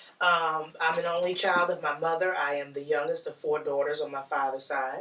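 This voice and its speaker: Against noticeable background noise, a woman speaks at a moderate pace with a very deep, low pitch and flat, monotone intonation. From Philadelphia, US. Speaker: office manager and financial planner. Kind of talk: casual interview.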